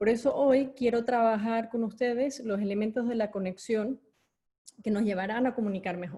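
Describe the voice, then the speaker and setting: Somewhat breathy and dark, mellow in tone, a woman speaks at a moderate pace with a fairly high pitch and ordinary pitch variation. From Venezuela. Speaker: corporate education executive and speaker. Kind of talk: online talk with audience chat. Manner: hesitant with fillers.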